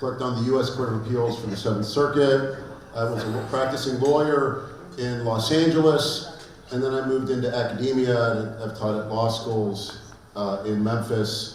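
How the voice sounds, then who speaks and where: A man talks at a moderate pace in a medium pitch with fairly even intonation. The recording has audible room echo and noticeable background noise. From Pittsburgh, Pennsylvania, US. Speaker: law professor. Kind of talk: conference lecture. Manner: halting, many fillers.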